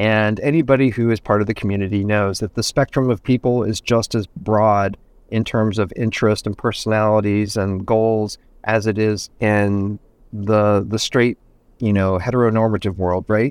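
A man speaks in a plain, everyday voice with fairly even intonation. The background is quiet. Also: fairly low pitch for a man, moderate pace. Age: 50s. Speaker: interior designer and TV personality. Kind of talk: interview conversation.

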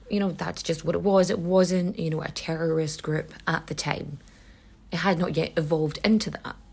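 Speaking at a moderate pace in a Donegal accent, a woman's fairly low, somewhat breathy voice holds fairly even intonation. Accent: Donegal Irish. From Ireland, County Donegal. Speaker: history podcast host. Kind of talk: conversational storytelling. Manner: casual, profane.

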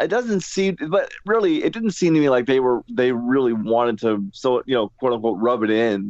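A man's plain, everyday voice at medium pitch, with lively intonation, a moderate pace and hardly any pauses. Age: 30s.

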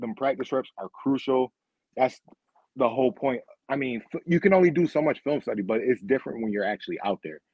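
A man with an American accent has an unremarkable speaking voice, a medium pitch, lively intonation and a fairly quick pace. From Rochester, New York. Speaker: former football player. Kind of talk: casual interview.

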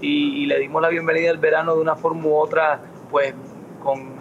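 A man's monotone, flat delivery against noticeable background noise. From Miami, US. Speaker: singer. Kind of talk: interview. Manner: halting, many fillers and repetitions.

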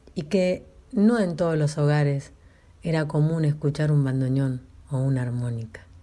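Very deep and low-pitched, a woman's voice has a dark, mellow tone, ordinary pitch variation and a moderate pace. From northern La Pampa, Argentina. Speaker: radio host. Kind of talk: interview.

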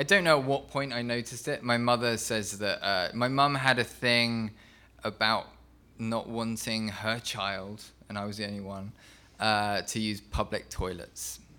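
A man with an English accent speaks fairly slowly at a fairly low pitch, his tone bright and sharp and his intonation fairly even. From England. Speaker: novelist. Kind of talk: interview conversation.

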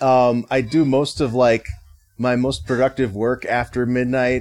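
A man talks at a moderate pace in a plain, everyday voice. His pitch sits at a medium level. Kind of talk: casual chat.

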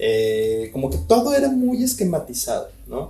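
A man with a Mexican accent, audible room echo around him. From Mexico (León, Guanajuato). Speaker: tattoo artist and studio owner. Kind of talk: casual interview chat.

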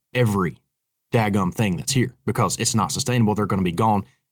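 On a very clean recording with a silent background, a man with a Southern Appalachian accent speaks at a fairly low pitch. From Appalachian North Carolina, near Boone. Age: 30s. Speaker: bowhunter. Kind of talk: casual chat.

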